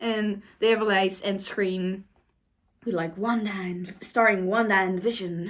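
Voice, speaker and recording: A woman with a non-native accent, fairly even intonation and a very slow pace. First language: not English. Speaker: YouTuber. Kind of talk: reaction commentary. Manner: casual, hesitant with fillers.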